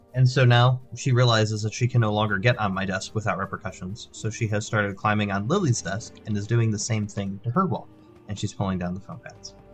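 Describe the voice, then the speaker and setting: Fairly quick speech with music in the background. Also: man, fairly low pitch for a man, fairly even intonation. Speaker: gaming streamer. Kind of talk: live gameplay commentary. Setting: home office stream room with sound padding. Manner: casual, chatty.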